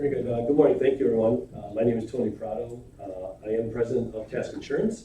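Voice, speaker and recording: Somewhat breathy, this man's voice sits at a medium pitch. He speaks at a fairly quick pace. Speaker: insurance agency president. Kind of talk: sales pitch. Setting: county committee meeting. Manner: fast.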